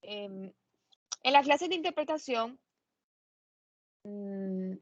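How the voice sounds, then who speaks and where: The voice moves at a very slow pace, its pitch swinging very widely. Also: woman, fairly high pitch for a woman. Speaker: law lecturer. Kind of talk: lecture. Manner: hesitant with fillers.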